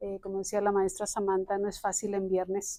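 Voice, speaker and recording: A woman's voice at medium pitch carries a dark, mellow tone. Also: very clean recording, silent background. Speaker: psychology professor. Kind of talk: lecture. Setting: classroom with audience, recorded.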